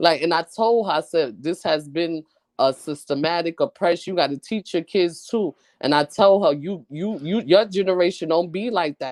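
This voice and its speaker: A woman in a Brooklyn accent at a fairly low pitch, moderate pace and ordinary pitch variation. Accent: New York (Brooklyn). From Brooklyn, New York. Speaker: podcast co-host, clothing business owner. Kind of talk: casual chat.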